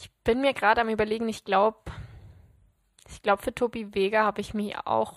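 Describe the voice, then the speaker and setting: Pausing long and often, a woman talks at a fairly quick pace in a monotone, flat intonation, with a fairly high pitch, big swings in loudness, and a dry, close sound with no echo. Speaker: podcast co-host. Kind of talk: casual chat.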